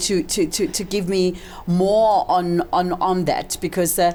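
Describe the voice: A woman speaks at a fairly slow pace with fairly even intonation. Her voice is fairly low and has a dark, mellow tone.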